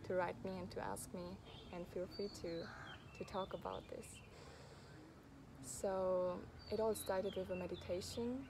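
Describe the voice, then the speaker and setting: Audible room echo surrounds a woman with a dark, mellow tone who speaks at a moderate pace and medium pitch, leaving long, frequent pauses. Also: fairly even intonation. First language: not English. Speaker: travel vlogger. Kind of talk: personal vlog monologue. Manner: halting, with repeated words; gentle, heartfelt.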